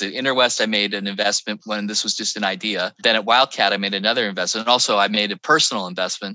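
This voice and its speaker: Delivered at a very fast pace, the voice has a bright, sharp tone and a dry, close sound with no echo. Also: man. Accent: American. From Northern California, Petaluma. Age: 60s. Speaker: tech executive and former venture capitalist. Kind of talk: interview conversation.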